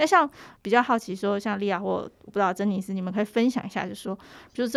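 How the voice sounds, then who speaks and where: A woman with a Taiwanese accent in a very clean recording with a silent background. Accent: Taiwanese Mandarin. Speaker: podcast host and journalist. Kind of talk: casual interview chat.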